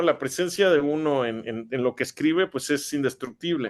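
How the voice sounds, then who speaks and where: Against a quiet background, a man with a Mexican accent speaks at a moderate pace with ordinary pitch variation. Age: 40s. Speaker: writer. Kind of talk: interview. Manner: halting, many fillers and repetitions.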